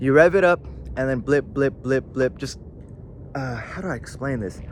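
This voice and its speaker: A man of medium pitch talks at a fairly quick pace. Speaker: car tuning youtuber. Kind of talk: tutorial. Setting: outdoors. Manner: fast; casual, filler-heavy.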